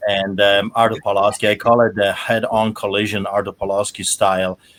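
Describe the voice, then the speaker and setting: A man with a Polish accent. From Poland. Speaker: pastor. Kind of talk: panel discussion.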